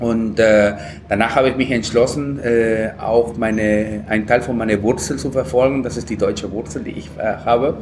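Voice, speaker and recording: Over noticeable background noise, a man speaks at medium pitch with a Peruvian accent. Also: ordinary pitch variation, moderate pace. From Peru, Lima. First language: Spanish (speaking German). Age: 30s. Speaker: chef. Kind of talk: casual interview. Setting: food festival, café.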